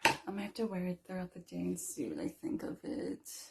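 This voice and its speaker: A woman keeps a moderate pace while noticeable background noise is heard. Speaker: beauty vlogger. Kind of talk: makeup tutorial. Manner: casual.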